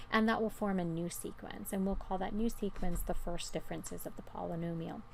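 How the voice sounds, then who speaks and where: There is audible room echo around a woman whose intonation stays fairly even. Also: medium pitch for a woman, fairly quick pace. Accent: American. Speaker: math teacher. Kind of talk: lecture. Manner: casual, with frequent fillers.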